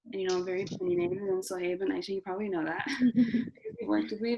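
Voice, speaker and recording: Noticeable background noise beneath a medium-pitched female voice. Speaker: university student panelist. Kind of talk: panel Q&A. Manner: loud.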